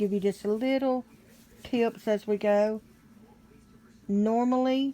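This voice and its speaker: Delivered at a very slow pace, the voice has a dark, mellow tone, fairly even intonation and very even loudness. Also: woman, fairly high pitch for a woman. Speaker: crochet teacher. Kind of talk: tutorial.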